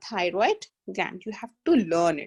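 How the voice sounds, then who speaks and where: A woman with an Indian accent at a fairly slow pace, in a dry, close sound with no echo. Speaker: biology tutor. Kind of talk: online lecture.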